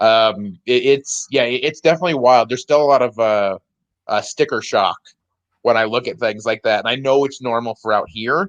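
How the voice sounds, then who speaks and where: A medium-pitched man with an American accent at a moderate pace, ordinary pitch variation, a dry, close sound with no echo, and a quiet background. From US Midwest, northwest Indiana. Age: 30s. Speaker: stand-up comedian. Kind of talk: casual podcast chat.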